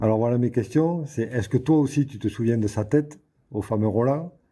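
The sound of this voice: A man speaks in a southern French accent with ordinary pitch variation. His tone is dark and mellow, with a slightly husky edge.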